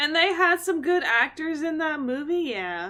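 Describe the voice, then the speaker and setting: Recorded very cleanly against a silent background, a woman speaks in an animated tone with a raised, projected voice that is bright and sharp. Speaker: video game streamer. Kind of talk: live gameplay stream chat.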